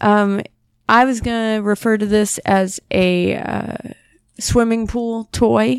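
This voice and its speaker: Speaking at a very slow pace, a woman uses a fairly high pitch with ordinary variation. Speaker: guest co-host, sister of host. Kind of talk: casual chat.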